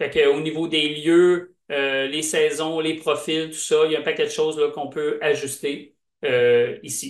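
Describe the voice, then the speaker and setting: Pitched fairly high, a man talks at a fairly slow pace with fairly even intonation. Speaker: software presenter. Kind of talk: product demo.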